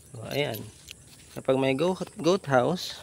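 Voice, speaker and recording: Speaking at a very slow pace, a man uses a medium pitch with ordinary pitch variation against noticeable background noise. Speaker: goat farmer vlogger. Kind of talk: casual vlog. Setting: outdoors on farm. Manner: lowered voice, quiet.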